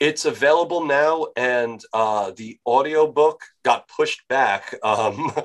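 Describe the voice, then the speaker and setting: A fairly high-pitched man with a New York accent, very slow, with ordinary pitch variation and big swings in loudness. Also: hardly any pauses. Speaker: author. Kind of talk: podcast interview. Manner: boisterous.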